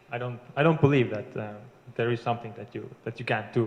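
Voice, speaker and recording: Over noticeable background noise, a man with an Estonian accent speaks at medium pitch with fairly even intonation. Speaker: internet marketer. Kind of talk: interview. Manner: halting.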